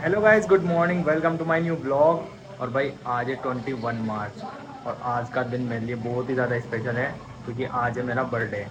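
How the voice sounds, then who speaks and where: A man's medium-pitched voice with lively intonation at a moderate pace, amid noticeable background noise and audible room echo. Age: 20s. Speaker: vlogger. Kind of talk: casual vlog chat.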